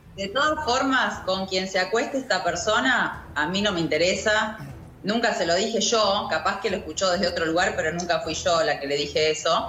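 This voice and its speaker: With lively intonation, a woman speaks at a moderate pace and medium pitch. Noticeable background noise and audible room echo are present. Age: 40s. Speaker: actress. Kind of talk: interview.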